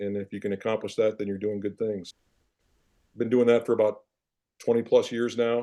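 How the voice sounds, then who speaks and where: A man's dark, mellow, medium-pitched voice, monotone and flat in intonation, at a fairly quick pace broken by long, frequent pauses. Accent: Midwestern US. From Iowa, small town. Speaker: former football player, financial advisor. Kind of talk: interview.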